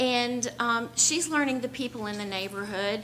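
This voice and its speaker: The voice is raised and projected at a moderate pace, with noticeable background noise. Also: woman. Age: 60s. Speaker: resident giving public comment. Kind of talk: public comment at a meeting. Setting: public meeting. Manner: halting.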